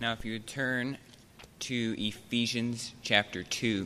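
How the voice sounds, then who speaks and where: This man has an ordinary speaking voice, a medium pitch, and a fairly slow pace. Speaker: scripture reader. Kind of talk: reading aloud. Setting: church.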